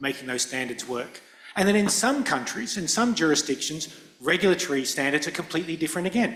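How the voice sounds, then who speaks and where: A man with a non-native accent at a very fast pace, with ordinary pitch variation. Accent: non-European accent, noticeable. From Indo-Pacific. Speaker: lawyer and standards committee chair. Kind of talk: panel discussion. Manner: hesitant, many fillers and repetitions.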